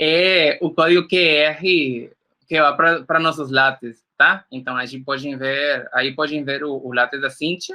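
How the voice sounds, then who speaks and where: Using a Spanish accent, a man speaks at a fairly high pitch. His pace is fairly slow and his intonation fairly even. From Nicaragua. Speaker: workshop instructor. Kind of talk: lecture. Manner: halting.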